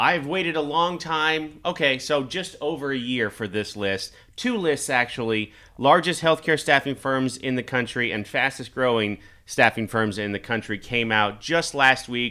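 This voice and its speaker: A man's bright, sharp voice at medium pitch, with ordinary pitch variation and a moderate pace. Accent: Midwestern American. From US Midwest, Kansas. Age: 40s. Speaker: staffing company executive and video show host. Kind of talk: casual chat.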